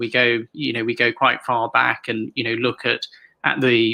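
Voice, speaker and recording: Speaking at a medium pitch and a fairly quick pace, a man with a British accent has a bright, sharp tone and vocal fry. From Hong Kong. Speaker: author. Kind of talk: interview. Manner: halting.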